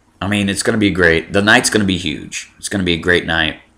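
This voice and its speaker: A man with an American accent has a bright, sharp tone and monotone, flat intonation. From Miami, Florida. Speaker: wrestling vlogger. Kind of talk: casual vlog commentary. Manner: hesitant, many fillers.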